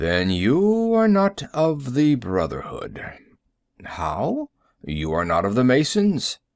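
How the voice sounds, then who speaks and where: Putting on a character voice at a fairly high pitch, a man speaks at a very slow pace. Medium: read story.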